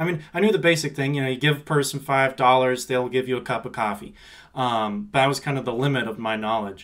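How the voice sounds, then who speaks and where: Very fast speech in a Pacific Northwest accent, with ordinary pitch variation. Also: man, medium pitch for a man. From Seattle. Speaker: university student finance staff. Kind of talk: casual interview.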